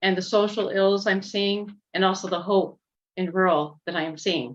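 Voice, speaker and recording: At a moderate pace, a woman with an American accent and a medium pitch uses a normal speaking voice. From Nebraska, York County. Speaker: farmer and rural advocate. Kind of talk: round table presentation. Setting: video call.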